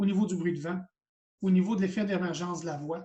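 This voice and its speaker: A man talks at a high pitch. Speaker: college teacher of hearing aid practice. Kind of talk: lecture. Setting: video call. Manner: fast when enthusiastic.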